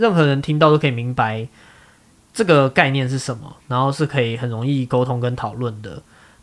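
This is a man talking. He has an unremarkable speaking voice. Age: 30s. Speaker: podcast host. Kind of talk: casual chat.

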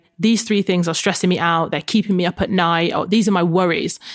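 This is a woman with an ordinary speaking voice. Her pitch is medium and it varies in an ordinary way. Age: 30s. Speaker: fitness coach and author. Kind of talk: casual chat.

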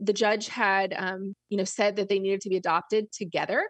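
Against a quiet background, a woman with a normal speaking voice talks at medium pitch and a moderate pace. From Florida. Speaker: business coach. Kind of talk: interview.

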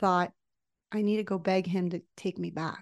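Against a quiet background, a woman's voice sounds dry and close, with no echo. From United States, Mexican-American family. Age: 40s. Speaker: life coach. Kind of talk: interview testimony.

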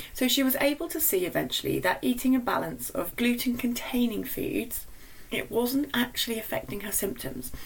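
A woman speaks with a British accent and a high pitch. Her intonation is lively and her pace moderate. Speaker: nutritionist podcast host. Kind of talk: solo podcast monologue.

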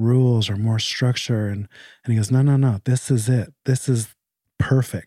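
Calm and at a fairly slow pace, a man speaks with a dark, mellow tone in a very clean recording with a silent background and a dry, close sound with no echo. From Canada. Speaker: addiction treatment center co-founder in recovery. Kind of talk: casual chat. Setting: at home. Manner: polite, proper.

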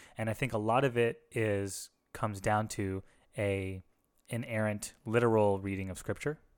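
A man speaks with a plain, everyday voice at a fairly low pitch and moderate pace. His intonation is fairly even, and the recording is very clean with a silent background. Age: 30s. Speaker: podcast co-host, former pastor. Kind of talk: casual chat.

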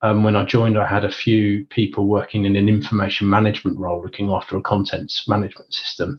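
A man with a London accent speaks very fast, his fairly low voice somewhat breathy and his intonation fairly even. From England (Northwest London). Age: 40s. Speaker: chief data officer. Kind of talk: interview.

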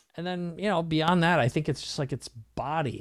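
Recorded very cleanly against a silent background, a man with a normal speaking voice and a fairly high pitch talks at a moderate pace. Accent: American. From US Midwest (Minnesota). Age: 50s. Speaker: business coach and entrepreneur. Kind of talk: casual interview.

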